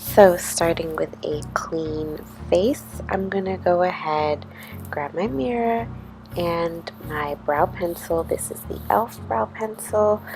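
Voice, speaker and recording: Over music in the background, a soft-spoken woman talks very slowly in a fairly low voice with lively intonation. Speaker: beauty youtuber. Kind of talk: tutorial.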